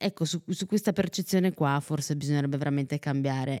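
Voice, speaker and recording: Recorded very cleanly against a silent background, with a dry, close sound and no echo, a woman speaks in a dark, mellow tone at a very deep, low pitch. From Italy, Neapolitan roots. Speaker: podcast host and radio presenter. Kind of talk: casual interview.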